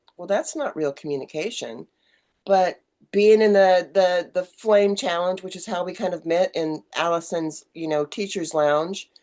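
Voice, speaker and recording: An ordinary speaking voice from a woman, fairly low in pitch with ordinary pitch variation and a fairly slow pace. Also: big swings in loudness. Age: 60s. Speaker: online community owner and podcast host. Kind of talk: casual chat.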